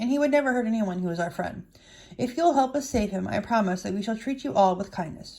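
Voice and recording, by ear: The text is read aloud in a natural voice. Its pitch moves in a lively way.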